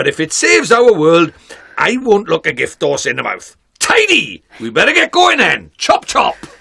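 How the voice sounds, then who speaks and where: A man does a gruff, put-on character voice at an extremely high pitch. He speaks at a moderate pace. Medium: game stream. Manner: brisk, cheeky, bossy.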